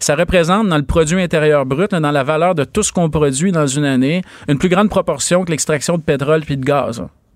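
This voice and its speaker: A normal speaking voice, its pitch moving in an ordinary way, delivered at a moderate pace. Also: man. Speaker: economics columnist and professor. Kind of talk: radio interview.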